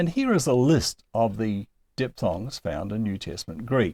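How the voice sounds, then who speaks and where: In a very clean recording with a silent background and a dry, close sound with no echo, a man of medium pitch speaks in a dark, mellow tone with lively intonation. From New Zealand. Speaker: Greek language teacher. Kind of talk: lecture.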